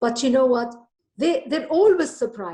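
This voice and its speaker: With a slight Lebanese accent, a woman talks at a fairly quick pace, her pitch swinging very widely. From Lebanon. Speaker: author and storyteller. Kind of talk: interview.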